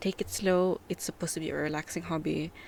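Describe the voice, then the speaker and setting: A woman whispering at a moderate pace. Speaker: hobby crafter, video maker. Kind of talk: casual tutorial outro. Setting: home, early morning.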